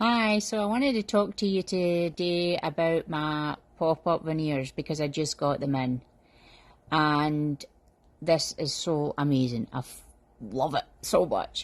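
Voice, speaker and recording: With a Scottish accent, a woman speaks fairly slowly with lively intonation at a very deep, low pitch. The recording is very clean, with a silent background. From Scotland. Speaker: customer giving a product review. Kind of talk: testimonial review. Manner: animated.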